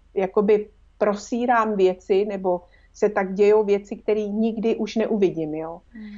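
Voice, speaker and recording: With a plain, everyday voice at a medium pitch, a woman speaks at a fairly slow pace with fairly even intonation and big swings in loudness. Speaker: former film interpreter. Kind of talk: casual chat.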